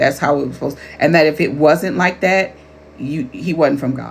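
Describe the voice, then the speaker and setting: Somewhat breathy, the woman's voice sits at a very deep, low pitch. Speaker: life coach and author. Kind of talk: casual talk to camera.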